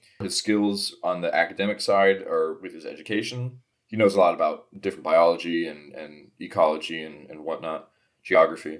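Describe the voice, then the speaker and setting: This man talks at a moderate pace, his loudness swinging widely. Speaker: player in tabletop game. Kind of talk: casual chat, tabletop game podcast. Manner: animated, joking.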